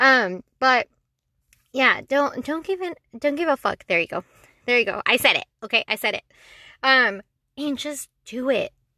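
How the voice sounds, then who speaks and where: A woman's raised, projected, high voice, bright and sharp, animated and lively in intonation, at a moderate pace with long, frequent pauses, sounding dry and close with no echo against a quiet background. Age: 20s. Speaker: solo podcaster. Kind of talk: casual monologue.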